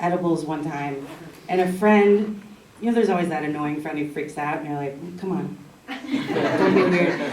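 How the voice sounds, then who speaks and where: A woman over noticeable background noise. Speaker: comedian and storyteller. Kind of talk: live storytelling set. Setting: live stage with audience. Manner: casual, comedic.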